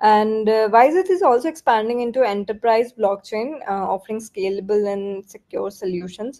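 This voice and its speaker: The speaker is a woman with a fairly high pitch. Her tone is dark and mellow. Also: ordinary pitch variation, moderate pace. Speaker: crypto project representative. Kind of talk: Q&A interview. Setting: online audio chat room.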